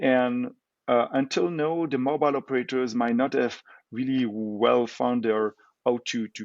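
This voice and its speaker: A man speaks at a fairly slow pace with a Belgian French accent. His pitch is medium, with ordinary variation. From Belgium. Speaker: tech company co-founder. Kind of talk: interview. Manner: hesitant, many fillers.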